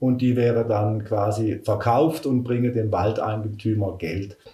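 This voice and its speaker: Speaking fairly slowly, a man's somewhat breathy voice comes through. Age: 50s. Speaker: forestry worker. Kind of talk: interview.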